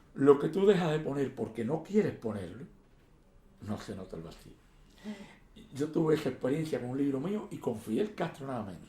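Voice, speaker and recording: A man with a fairly high pitch speaks with very wide pitch swings and big swings in loudness. His speech has long, frequent pauses. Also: moderate pace. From Cuba. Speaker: poet and historian. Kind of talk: interview answer.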